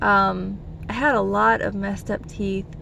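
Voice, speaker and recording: Audible room echo and noticeable background noise around a woman's voice. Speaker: vlogger, physician. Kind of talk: casual vlog talk. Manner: hesitant, many fillers.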